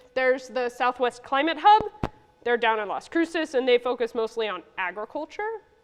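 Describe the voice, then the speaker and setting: A woman's high voice with lively intonation at a fairly quick pace, amid noticeable background noise. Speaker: ecologist presenting at a science symposium. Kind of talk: conference talk. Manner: fast; casual, many fillers.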